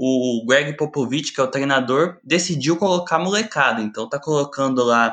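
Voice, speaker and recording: Delivered at a moderate speed, an ordinary speaking voice shows ordinary pitch variation. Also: man, quiet background. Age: 20s. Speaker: sports journalist. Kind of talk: casual chat.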